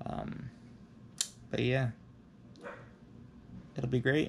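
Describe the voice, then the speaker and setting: Noticeable background noise runs under the speech. A man talks very slowly, in a monotone with flat intonation. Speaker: vlogger. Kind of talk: casual vlog chat. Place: home room. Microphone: phone near.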